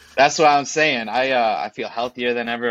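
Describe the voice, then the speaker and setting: The voice has an American accent, with a dry, close sound with no echo and a quiet background. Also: man. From western New York (Buffalo area). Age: 30s. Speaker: personal branding coach. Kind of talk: casual interview chat.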